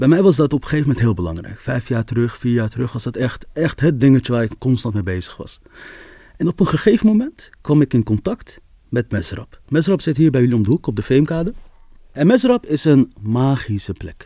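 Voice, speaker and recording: A man with a dark, mellow tone and a medium pitch talks at a fairly quick pace, his pitch swinging very widely, on a very clean recording with a silent background. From Amsterdam, Netherlands. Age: 20s. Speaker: storytelling coach and photographer. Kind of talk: interview.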